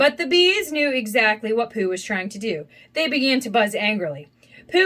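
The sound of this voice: An unforced reading voice with lively intonation.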